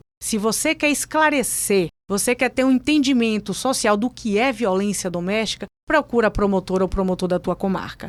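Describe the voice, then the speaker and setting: A woman with a Bahian accent speaks in an animated tone with lively intonation at a moderate pace and hardly any pauses, the recording very clean with a silent background and the sound dry and close with no echo. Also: fairly high pitch for a woman. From Bahia, Brazil. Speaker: public prosecutor. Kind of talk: interview.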